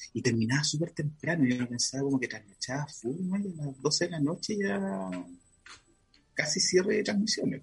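A man's fairly high, somewhat breathy voice with a Chilean accent, at a moderate pace, with very wide pitch swings and big swings in loudness. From Chile, Concepción. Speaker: fashion designer. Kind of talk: casual interview chat.

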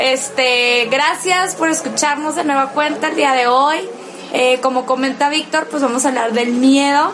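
Noticeable background noise and audible room echo surround a woman's high-pitched voice. She talks at a fairly slow pace with ordinary pitch variation. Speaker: podcast co-host. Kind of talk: casual chat.

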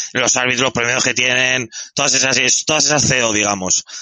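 A man speaks in a plain, everyday voice at a medium pitch. His pace is moderate, with ordinary pitch variation. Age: 30s. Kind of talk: casual chat.

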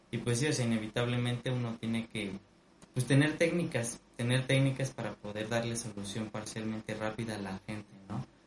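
With a medium pitch and fairly even intonation, a man speaks in a somewhat breathy voice. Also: moderate pace. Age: 20s. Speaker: musician and student. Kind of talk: casual chat.

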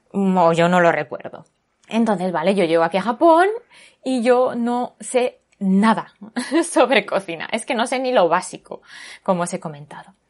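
A woman speaks at a moderate pace with a medium pitch and lively intonation. She leaves long, frequent pauses. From Spain, Barcelona. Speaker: podcast host. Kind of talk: casual chat.

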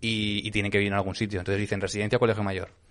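The speaker is a man. His pitch sits fairly low. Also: quiet background. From Aragón, Spain. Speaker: podcast host, comedian. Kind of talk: casual chat.

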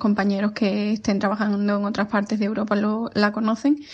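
Somewhat breathy, a woman speaks at a moderate pace with a fairly high pitch and monotone, flat intonation. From Spain, Seville. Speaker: pediatric physiotherapist. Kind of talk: recorded testimony.

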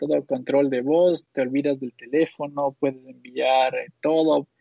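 At a moderate pace, a man speaks with a fairly high pitch and monotone, flat intonation. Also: hardly any pauses. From Quito, Ecuador. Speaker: podcast co-host. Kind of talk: casual chat.

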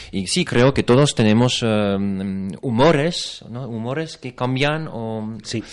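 Loudness swings widely as a man speaks very slowly, with hardly any pauses. His pitch is medium, with ordinary variation. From France. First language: French (speaking Spanish). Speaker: actor. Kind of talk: interview. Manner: halting.

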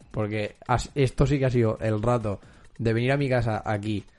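With music in the background, a man talks at a moderate pace and fairly even intonation. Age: 20s. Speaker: podcast host. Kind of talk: casual chat.

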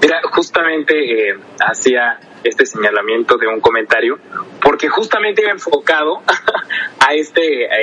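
Noticeable noise runs behind the recording. A man speaks fairly slowly over it. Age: 20s. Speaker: legislative adviser. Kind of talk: podcast discussion. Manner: formal.

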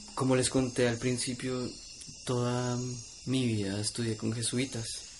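Noticeable background noise surrounds a man who speaks at a medium pitch and a fairly slow pace in a monotone, flat delivery. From Colombia, Bogotá. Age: young. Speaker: artist. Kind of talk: interview conversation. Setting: home studio in the jungle. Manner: hesitant with fillers.

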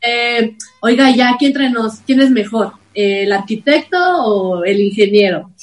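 The delivery from this woman is very slow. Her intonation stays lively throughout. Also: fairly high pitch for a woman. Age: 30s. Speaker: actress. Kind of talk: improv comedy; casual chat.

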